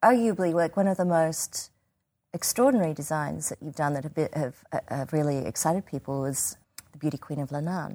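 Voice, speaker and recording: On a very clean recording with a silent background, a woman with an Australian accent speaks at a fairly quick pace in a very deep, low voice with a dark, mellow tone and ordinary pitch variation. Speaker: theatre artistic director. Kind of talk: casual interview.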